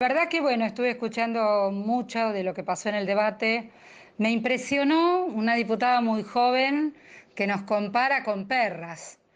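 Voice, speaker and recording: With a normal speaking voice, a woman talks at a moderate pace and a fairly high pitch, with ordinary pitch variation against a quiet background. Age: 60s. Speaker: activist. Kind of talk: radio interview.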